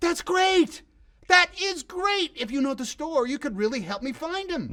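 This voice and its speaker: A squeaky, high-pitched put-on character voice in an enthusiastic tone at a moderate pace. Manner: eager, enthusiastic.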